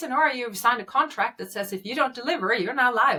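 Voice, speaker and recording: A woman with a Swedish accent and a high pitch uses a raised, projected voice with very wide pitch swings. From Sweden. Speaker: medtech company founder. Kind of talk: interview. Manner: frequent hesitations and fillers.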